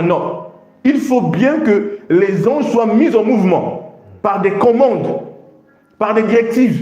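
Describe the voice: Strong room echo surrounds a man with a high pitch. His intonation is lively and his tone slightly mellow.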